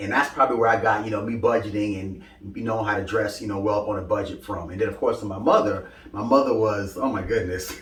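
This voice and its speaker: A man with a fairly low pitch talks at a very fast pace with fairly even intonation. Audible room echo and noticeable background noise surround him. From Brooklyn, New York. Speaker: fashion content creator. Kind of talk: interview.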